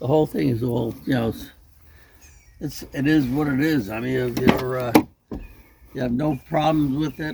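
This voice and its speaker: Noticeable background noise sits behind a man speaking at medium pitch. His intonation is fairly even, with long, frequent pauses. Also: moderate pace. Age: 70s. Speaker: car owner, retired rug businessman. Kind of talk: casual interview. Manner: hesitant, many fillers.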